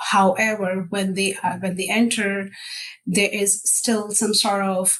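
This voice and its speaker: Over noticeable background noise, the speech moves at a moderate pace in a monotone, flat intonation. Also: woman. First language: not English. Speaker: technical account manager. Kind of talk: casual interview chat.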